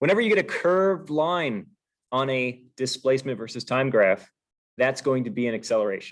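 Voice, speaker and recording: A man talks in a plain, everyday voice at medium pitch. He moves at a fairly quick pace with lively intonation. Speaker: physics teacher. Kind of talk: review lecture.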